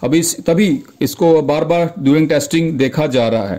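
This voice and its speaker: This man has a plain, everyday voice. His pitch varies in an ordinary way. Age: 40s. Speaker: YouTube auto news presenter. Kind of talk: casual video commentary.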